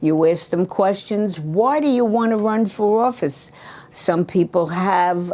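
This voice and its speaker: Speaking with a New York accent, a woman at medium pitch keeps her loudness very even and her intonation lively. Her pace is fairly slow, and background noise is noticeable. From New York, Brooklyn. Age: 80s+. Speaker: retired local government administrator. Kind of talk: interview. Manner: outspoken.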